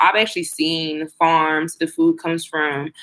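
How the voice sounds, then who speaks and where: In a very clean recording with a silent background, a woman talks with an American accent. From United States. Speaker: student vlogger abroad. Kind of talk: casual vlog talk to camera. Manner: fast.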